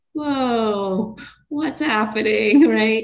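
Amid audible room echo, a woman speaks at a very slow pace in a medium pitch with ordinary pitch variation. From Pakistan, raised in New York state. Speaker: mental health therapist. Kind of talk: interview.

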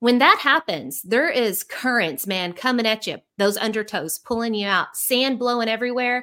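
In a very clean recording with a silent background, a woman with a fairly high, bright, sharp voice speaks at a moderate pace in an animated tone with lively intonation. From Central Arkansas. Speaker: leadership coach, former educator. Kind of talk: interview.

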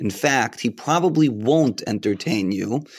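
Over a silent background in a very clean recording, a man uses a normal speaking voice at a medium pitch and a fairly slow pace. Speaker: podcast host. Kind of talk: casual interview.

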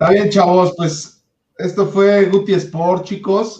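A man is speaking. His pace is very slow. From Mexico, Puebla. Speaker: sports podcast host. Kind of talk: casual chat.

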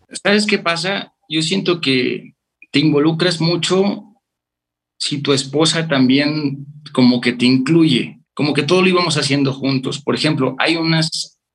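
An unremarkable speaking voice from a man, fairly high in pitch, at a fairly slow pace with ordinary pitch variation. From Mexico, Veracruz. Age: 30s. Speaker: father and chemical engineer. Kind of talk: casual interview. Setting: remote call.

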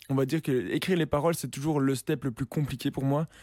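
A dark, mellow tone in a very clean recording with a silent background, dry and close with no echo. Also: man. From Belgium. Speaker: singer-songwriter and producer. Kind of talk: interview. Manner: casual, hesitant with fillers.

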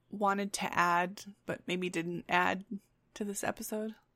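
Recorded very cleanly against a silent background, a woman speaks with an Upper Midwest accent in a dry, close sound with no echo. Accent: Upper Midwest American. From West Michigan. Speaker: podcast co-host. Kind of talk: casual chat.

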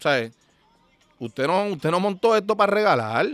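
Against music in the background, a man's high-pitched voice swings very widely at a moderate pace, in a dry, close sound with no echo. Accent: Puerto Rican. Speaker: podcast host. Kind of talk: casual monologue. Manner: animated.

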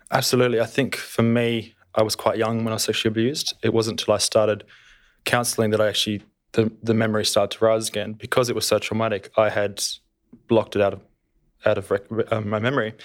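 A man's medium-pitched voice with an Australian accent, flat monotone intonation and a very fast pace, on a very clean recording with a silent background. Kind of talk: panel discussion, testimony. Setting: studio. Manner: reserved.

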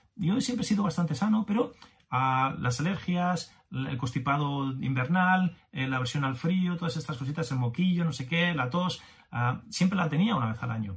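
Lively intonation marks this man's fairly high voice, delivered at a moderate pace. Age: 50s. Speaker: business coach podcaster. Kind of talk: motivational monologue. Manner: animated.

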